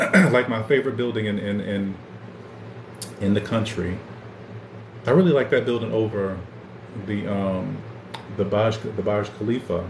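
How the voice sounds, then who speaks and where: A man with a fairly low pitch speaks at a moderate pace, his intonation fairly even and broken by long, frequent pauses. Audible room echo and noticeable background noise fill the recording. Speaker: podcast host. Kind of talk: casual livestream chat. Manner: stuttering, repeats words.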